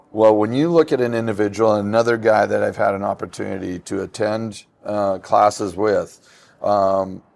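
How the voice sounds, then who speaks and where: Recorded very cleanly against a silent background, a man speaks at a moderate pace. His pitch is fairly low, with ordinary pitch variation. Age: 60s. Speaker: industry instructor. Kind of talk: panel discussion. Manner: halting.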